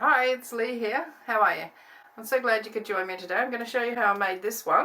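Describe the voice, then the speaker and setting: Her tone is bright and sharp. The woman's pitch varies in an ordinary way. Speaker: mixed media artist, craft YouTuber. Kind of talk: tutorial. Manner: casual, chatty.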